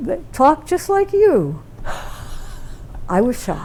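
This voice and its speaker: A woman with an American accent talks at a fairly slow pace over noticeable background noise. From Michigan (Taylor, Detroit area), raised by Appalachian parents. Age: 90s. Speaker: interviewee, local elder. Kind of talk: casual interview. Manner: halting, many fillers.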